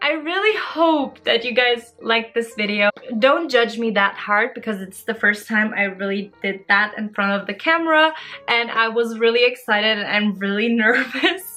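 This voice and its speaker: A woman with a German accent, fairly high pitch and ordinary pitch variation at a moderate pace, music in the background. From Germany, Turkish family. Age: 20s. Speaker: YouTuber, student. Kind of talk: Q&A vlog.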